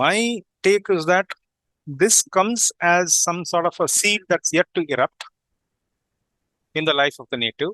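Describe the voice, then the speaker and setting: A man with a high pitch and a bright, sharp tone talks at a fairly slow pace with long, frequent pauses. His pitch varies in an ordinary way, and the sound is dry and close with no echo. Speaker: astrologer. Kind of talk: group discussion lecture. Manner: halting.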